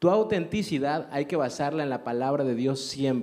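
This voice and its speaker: Intonation rises and falls in a lively way. The pace stays moderate. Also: man. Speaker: radio host and preacher. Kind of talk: interview.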